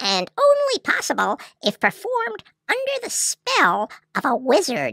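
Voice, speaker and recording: This is a put-on character voice. The recording is very clean, with a silent background. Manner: brisk, practical.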